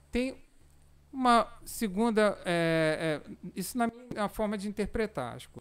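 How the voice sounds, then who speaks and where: A very slow, high-pitched man's voice with lively intonation. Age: 40s. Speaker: amateur cyclist and cycling association president. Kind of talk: casual podcast interview. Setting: studio, live-streamed.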